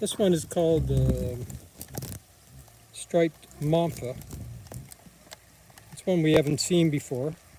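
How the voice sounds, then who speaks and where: Fairly slow delivery with long, frequent pauses, big swings in loudness and ordinary pitch variation. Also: man, fairly high pitch for a man. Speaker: amateur naturalist live streamer. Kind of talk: live commentary. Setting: outdoors.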